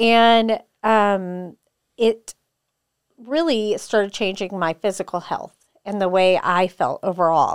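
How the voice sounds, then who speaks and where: On a very clean recording with a silent background and a dry, close sound with no echo, a woman speaks at a very slow pace and medium pitch, with ordinary pitch variation and long, frequent pauses. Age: 40s. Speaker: jiu-jitsu academy co-owner and fitness coach. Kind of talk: casual interview chat.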